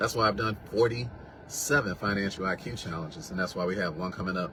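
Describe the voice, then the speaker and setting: Sounding animated, a man talks at a very fast pace with a fairly low pitch. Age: 60s. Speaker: wealth coach. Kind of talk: sales pitch.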